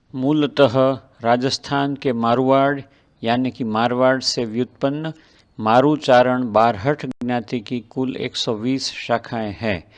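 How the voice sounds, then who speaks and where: A man's medium-pitched voice with a Gujarati accent and fairly even intonation. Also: quiet background. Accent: Gujarati-accented Hindi. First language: Gujarati (speaking Hindi). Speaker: eye surgeon narrating a devotional travel video. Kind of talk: scripted narration. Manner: formal.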